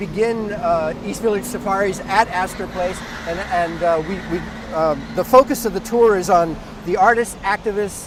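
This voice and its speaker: A man with a high pitch talks at a moderate pace with ordinary pitch variation. Noticeable background noise sits behind him. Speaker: walking tour guide, former actor and theatre founder. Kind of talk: casual walking-tour talk to camera. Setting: outdoors.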